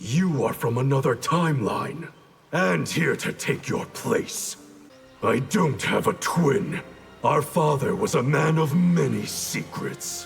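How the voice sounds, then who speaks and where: A man puts on a character voice at a fairly high pitch. Faint music plays in the background. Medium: short film. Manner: cold, clipped.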